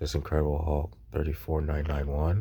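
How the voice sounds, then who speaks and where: A soft-spoken man with a very deep, low pitch, a dark, mellow tone and vocal fry, at a moderate pace with ordinary pitch variation. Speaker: YouTube collectibles tutorial creator. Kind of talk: tutorial. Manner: hesitant, many fillers.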